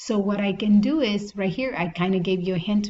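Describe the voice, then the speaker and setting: A woman with a non-native accent speaks at a medium pitch. Her tone is dark and mellow and somewhat breathy. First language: not English. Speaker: math teacher. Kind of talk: tutorial. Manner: casual, thinking aloud with self-corrections.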